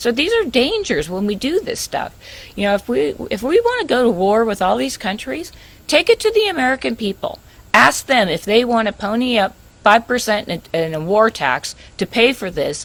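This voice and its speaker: Very wide pitch swings run through a woman's fairly high voice. She keeps a moderate pace. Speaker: investigative reporter. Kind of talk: radio interview.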